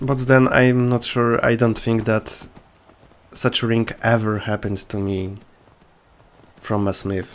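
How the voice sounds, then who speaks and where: A man with a non-native accent talks at a fairly slow pace and a medium pitch. His intonation is monotone and flat, with long, frequent pauses. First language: not English. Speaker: gaming video creator. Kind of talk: gameplay commentary. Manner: casual, with hesitations.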